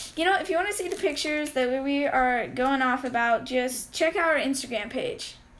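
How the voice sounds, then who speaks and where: Talking at a fairly quick pace with hardly any pauses, a woman with an American accent uses a high pitch and lively intonation amid audible room echo. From Arizona. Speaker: podcast co-host. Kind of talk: casual chat. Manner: halting, many fillers.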